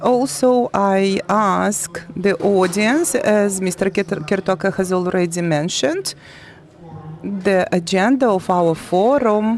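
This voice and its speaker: A woman at a medium pitch speaks at a very slow pace with very even loudness, over noticeable background noise. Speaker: forum moderator. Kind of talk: event moderation. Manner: halting.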